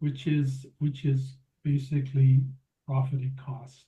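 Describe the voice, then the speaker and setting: A man with a fairly high pitch speaks in a dark, mellow tone that is somewhat breathy. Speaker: systems engineering researcher. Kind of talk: presentation rehearsal. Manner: halting, many repetitions. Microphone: too quiet.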